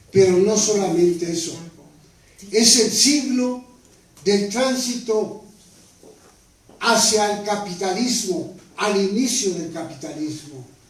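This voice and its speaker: Over noticeable background noise and audible room echo, a high-pitched man speaks very slowly with ordinary pitch variation and long, frequent pauses. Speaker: author and history speaker on a panel. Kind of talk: panel talk. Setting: panel discussion at a table. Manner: formal.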